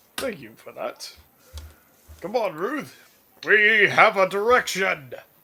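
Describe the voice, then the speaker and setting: A put-on character voice from a man, pitched high, delivered fairly slowly. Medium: actual play. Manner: rambling, vague.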